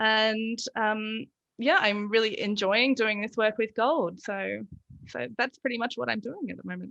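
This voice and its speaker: Speaking fairly slowly in an Australian accent, a woman keeps a fairly high pitch and fairly even intonation. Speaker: lactation consultant. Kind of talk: casual interview.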